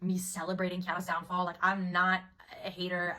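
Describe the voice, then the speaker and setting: Noticeable background noise sits behind this recording. A woman speaks at a very fast pace. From Italy, Milan. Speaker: commentary video creator. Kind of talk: casual explainer vlog. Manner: chatty, filler-heavy casual speech.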